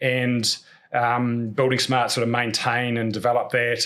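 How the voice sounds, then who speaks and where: Over a very clean recording with a silent background, a man of medium pitch talks with a New Zealand accent. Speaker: podcast host, construction cost business owner. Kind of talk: podcast conversation. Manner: fast.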